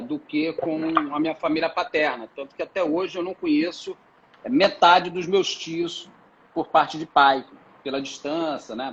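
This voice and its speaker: Noticeable background noise sits under a man speaking at a moderate pace. His pitch is fairly high, with ordinary variation. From Brazil, Rio de Janeiro. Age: 40s. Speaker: tourism entrepreneur. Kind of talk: interview. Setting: live video stream. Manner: hesitant with many fillers.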